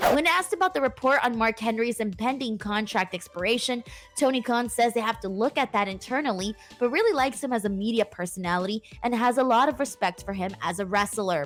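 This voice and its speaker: Over music in the background, a woman talks very fast at a fairly high pitch with lively intonation. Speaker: wrestling news host. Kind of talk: news read.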